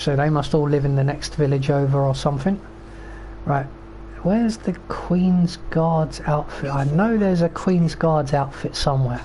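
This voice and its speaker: Someone with a British accent speaks at a moderate pace over noticeable background noise. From Britain. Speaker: video game streamer. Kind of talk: gameplay commentary. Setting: live stream. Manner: casual, rambling with fillers.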